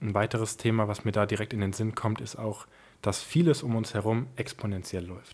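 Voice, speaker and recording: A man's unremarkable speaking voice, fairly low in pitch, with ordinary pitch variation at a moderate pace, on a very clean recording with a silent background. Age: 20s. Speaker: family business successor and founder. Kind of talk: interview.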